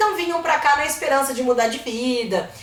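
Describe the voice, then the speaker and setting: A woman's high voice with lively intonation, amid noticeable background noise and audible room echo. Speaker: history teacher. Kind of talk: lecture. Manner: fast.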